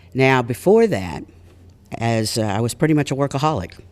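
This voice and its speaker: A man with an American accent. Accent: Texas Panhandle accent, stronger when tired. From US South, Texas Panhandle (Amarillo). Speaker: chiropractor and speaker. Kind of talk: personal storytelling to an audience. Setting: stage with audience in a library.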